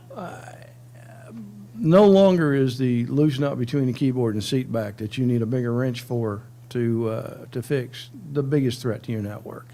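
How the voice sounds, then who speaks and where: The voice has a dark, mellow tone and ordinary pitch variation at a moderate pace. Audible room echo surrounds it. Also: man, medium pitch for a man. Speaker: cybersecurity strategist, military veteran. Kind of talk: conference talk. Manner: casual, joking.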